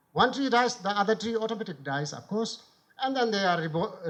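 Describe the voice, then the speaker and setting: This man speaks with a Bhutanese accent and ordinary pitch variation. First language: Kurtoep. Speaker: former member of parliament and author. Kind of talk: conference talk.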